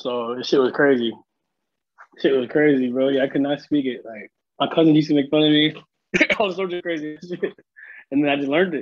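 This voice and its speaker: A man with a Seattle accent speaks at a fairly high pitch with ordinary pitch variation. He talks at a fairly quick pace but leaves long, frequent pauses. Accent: Seattle urban American English. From US Pacific Northwest, South Seattle (Filipino immigrant). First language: Tagalog and Ilocano. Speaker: videographer and entrepreneur. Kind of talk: casual chat.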